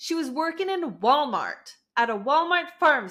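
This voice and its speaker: With a French Canadian accent, a woman speaks fairly slowly in an animated tone. Her extremely high voice swings very widely in pitch. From Canada (French-speaking, rural area). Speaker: law student youtuber. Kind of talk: casual true-crime commentary vlog. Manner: animated, chatty.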